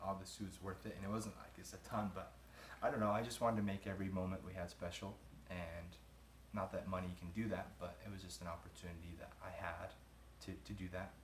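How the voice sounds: A man speaks at a moderate pace in a low pitch. His tone is fairly bright, with faint background noise.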